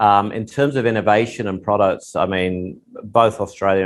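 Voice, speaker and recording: Using an English accent, a man with a fairly low pitch and ordinary pitch variation speaks at a moderate pace. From England. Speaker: tech company executive. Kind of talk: podcast interview.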